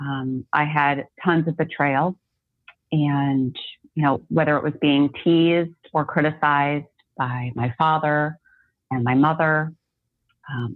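Her pitch is very deep and low. The woman speaks with fairly even intonation. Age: 40s. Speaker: life coach and occupational therapist. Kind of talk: interview.

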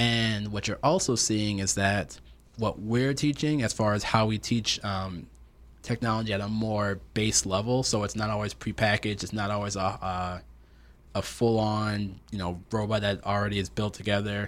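Speaking with an ordinary speaking voice, a man keeps his fairly low pitch in fairly even intonation. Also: moderate pace. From upstate New York, Rochester. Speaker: tech entrepreneur, engineer. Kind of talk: interview.

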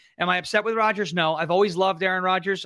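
Talking very fast in a New York accent, a man uses a high pitch and fairly even intonation. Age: 30s. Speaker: political commentator and comedian. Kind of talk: casual chat.

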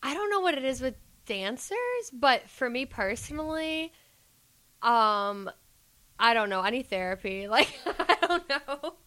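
On a very clean recording with a silent background, a woman with a high pitch and a bright, sharp tone uses a raised, projected voice, moving through very wide pitch swings at a fairly slow pace with long, frequent pauses. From Georgia, US South. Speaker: guest, club dancer and student. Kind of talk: casual chat interview.

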